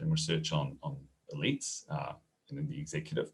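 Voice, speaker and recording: A man with a New Zealand accent, very wide pitch swings and a fairly quick pace. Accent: New Zealand, noticeable. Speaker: professor. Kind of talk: webinar presentation. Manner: hesitant, many fillers.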